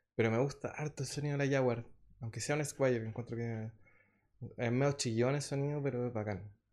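Speaking at a fairly quick pace, a man keeps a medium pitch. His intonation is fairly even. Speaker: musician. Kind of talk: interview. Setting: studio.

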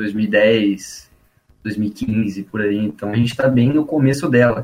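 This man has an unremarkable speaking voice, pitched medium with ordinary pitch variation. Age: 20s. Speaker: founder of a tech education page. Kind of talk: casual chat. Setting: studio.

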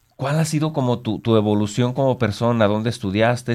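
An unremarkable speaking voice, a man's, medium in pitch, at a fairly quick pace. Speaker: radio host. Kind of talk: casual interview.

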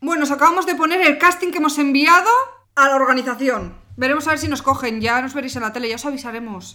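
Speaking at a very fast pace, a woman uses a raised, projected voice that is high-pitched and has ordinary pitch variation. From Pamplona, Navarre, Spain. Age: 20s. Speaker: podcast co-host. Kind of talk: casual chat. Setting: at home.

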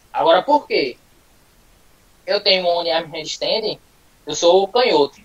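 A high-pitched male voice keeps a moderate tempo as noticeable background noise runs underneath. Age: 20s. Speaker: calisthenics athlete. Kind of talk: casual live interview.

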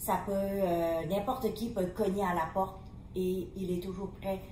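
A woman of medium pitch talks at a fairly slow pace with fairly even intonation, with audible room echo and noticeable background noise. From Vietnam. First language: Vietnamese (speaking French). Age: 50s. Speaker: refugee mother of hosts. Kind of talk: personal testimony.

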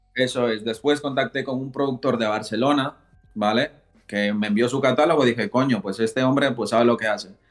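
A plain, everyday voice at a fairly quick pace. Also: man, medium pitch for a man, fairly even intonation. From Ecuador, moved to Spain at 8. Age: 20s. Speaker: rapper. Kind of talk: casual interview.

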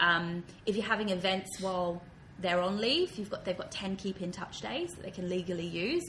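A woman with an Australian accent at medium pitch, with fairly even intonation and a fairly quick pace. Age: 30s. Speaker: diversity and inclusion consultant. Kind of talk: interview. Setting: office.

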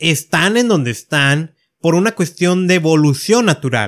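At a very slow pace, a man speaks in a high voice. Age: 30s. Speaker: podcast host. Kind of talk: solo podcast monologue. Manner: hesitant with filler words.

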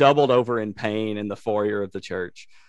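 A man with a Tennessee accent, fairly low in pitch, at a moderate pace with fairly even intonation against a quiet background. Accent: Southern US (Tennessee). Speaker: podcast host, former funeral director. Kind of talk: casual interview chat.

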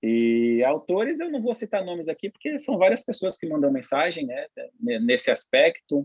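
A man's high voice at a moderate speed, with very wide pitch swings. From São Paulo, East Zone (Itaquera). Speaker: professional football goalkeeper. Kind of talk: podcast interview. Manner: calm, relaxed, laughing.

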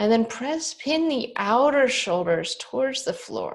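A woman with lively intonation, in a very clean recording with a silent background. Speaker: yoga and meditation podcast host. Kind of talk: guided relaxation; casual podcast talk. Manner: calm, slow.

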